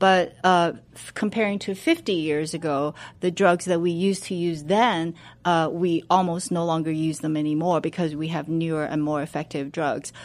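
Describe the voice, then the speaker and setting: Fairly even intonation and a moderate pace come through in a Chinese accent on a very clean recording with a silent background. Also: woman, fairly low pitch for a woman. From China. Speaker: medical researcher. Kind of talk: radio interview. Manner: halting, many fillers.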